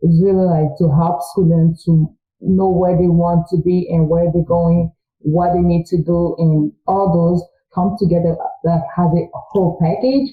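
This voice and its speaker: Her voice pitched fairly low, a woman speaks with a French accent. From Congo. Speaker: student. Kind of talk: interview.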